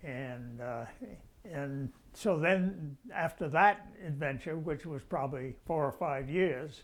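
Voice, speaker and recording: A man speaks with an American accent at a fairly high pitch. His pace is very slow, with ordinary pitch variation. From Rhode Island, US (Pawtucket). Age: 90s. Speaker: retired doctor recalling family history. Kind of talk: oral history interview. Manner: halting, many uh fillers.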